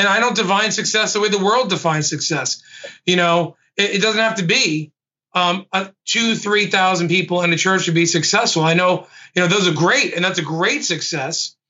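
Very even loudness in a New York accent. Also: man, high pitch for a man, ordinary pitch variation, moderate pace. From Brooklyn, New York. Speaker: lead pastor. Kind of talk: casual panel discussion. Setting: video call.

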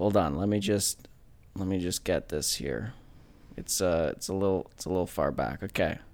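The speaker sounds animated and uses vocal fry, talking at a moderate pace with ordinary pitch variation on a very clean recording with a silent background. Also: man, very deep, low pitch for a man. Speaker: podcast co-host. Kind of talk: casual banter. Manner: animated, joking.

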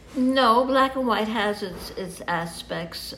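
Speaking at a very slow pace with ordinary pitch variation, a woman with an American accent is heard over noticeable background noise. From New York. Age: 80s+. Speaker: photographer. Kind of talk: interview. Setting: at home. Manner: halting.

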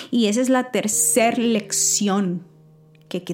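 At a very slow pace, a woman speaks in a warm tone with ordinary pitch variation against noticeable background noise. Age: 40s. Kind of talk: devotional talk. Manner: warm, intimate; hesitant with fillers.

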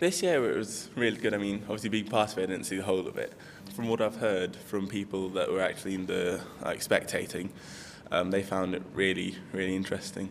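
A man speaks at a fairly quick pace in a fairly low pitch. His intonation stays fairly even, with music in the background. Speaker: university student. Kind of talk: interview.

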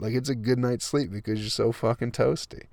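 A man with an American accent at medium pitch, on a very clean recording with a silent background. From Flint, Michigan. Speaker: comedian podcaster. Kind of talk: casual monologue. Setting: parked minivan. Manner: rambling, laughing often.

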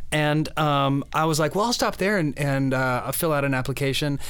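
A man speaks at a very fast pace in a fairly high voice. There is audible room echo and noticeable background noise. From Oklahoma. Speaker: church director of new disciples. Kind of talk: interview.

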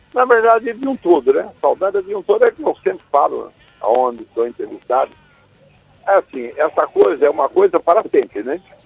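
Music plays behind a man speaking at a fairly quick pace, his sound dry and close with no echo. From Brazil, Ceará (Acopiara). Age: 70s. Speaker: bereaved father of a late musician. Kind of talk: radio interview.

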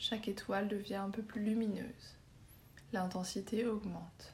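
A soothing, calm tone. The delivery is very slow. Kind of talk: guided meditation (yoga nidra) for sleep, star-sky visualisation. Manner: slow, soft-spoken, soothing, with long pauses; calm, gentle, hypnotic, even pace.

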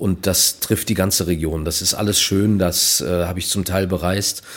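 A man with a very deep, low pitch speaks at a moderate pace, his pitch varying in an ordinary way. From Germany, Minden area (East Westphalia). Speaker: author and cabaret artist. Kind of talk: casual interview.

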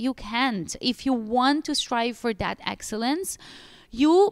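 Speaking fairly slowly with an Italian accent, a woman's high voice comes through on a very clean recording with a silent background. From Italy. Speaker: pilates studio owner. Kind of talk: podcast interview.

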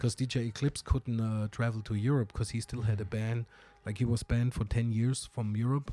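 In a German accent, a man speaks at medium pitch with a dark, mellow tone and monotone, flat intonation. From southern Germany. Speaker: hip hop DJ and producer. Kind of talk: casual interview chat.

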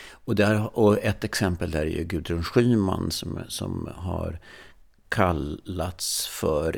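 In a very clean recording with a silent background, a man speaks at a very slow pace in a very deep, low pitch. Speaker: stress researcher, podcast co-host. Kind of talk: casual chat. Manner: trailing off in volume.

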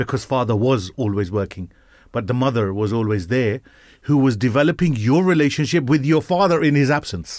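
An ordinary speaking voice with lively intonation at a fairly quick pace, on a very clean recording with a silent background. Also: man, medium pitch for a man. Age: 50s. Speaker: radio show host. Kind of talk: casual chat. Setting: studio.

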